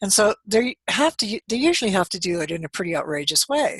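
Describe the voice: Her medium-pitched voice has a fairly bright tone with a slightly husky edge, big pitch swings and a fairly quick pace, recorded dry and close with no echo.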